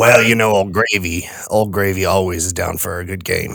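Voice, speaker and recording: Using a put-on character voice, a man speaks in a raspy, fairly low register at a moderate pace. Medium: actual play. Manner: refers to himself in third person.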